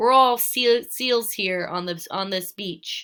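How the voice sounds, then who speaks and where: A woman's gruff, put-on character voice, fairly high in pitch and fairly slow in pace. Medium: read story.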